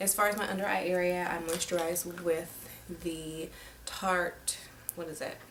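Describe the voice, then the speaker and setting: The woman's voice is quiet and fairly low in pitch. Her intonation stays fairly even. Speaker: beauty vlogger. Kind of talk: makeup tutorial. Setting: home at night. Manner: speaking quietly; casual, filler-heavy.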